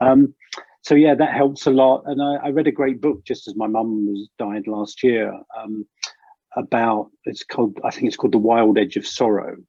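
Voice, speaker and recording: A man of medium pitch with an English accent, at a moderate pace and with ordinary pitch variation. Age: 60s. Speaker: leadership coach. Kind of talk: interview conversation. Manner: halting.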